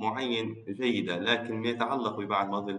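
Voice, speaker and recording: A man with a Tripoli Libyan accent, fairly low in pitch, at a moderate pace with fairly even intonation. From Libya, Tripoli. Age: 20s. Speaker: architect, youth participant. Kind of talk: conversational dialogue. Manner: hesitant, many fillers.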